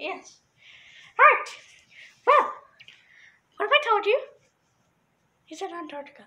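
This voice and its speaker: A put-on character voice at an extremely high pitch moves at a moderate pace, broken by long, frequent pauses. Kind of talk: casual talk to camera. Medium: role play. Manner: playful, excitable.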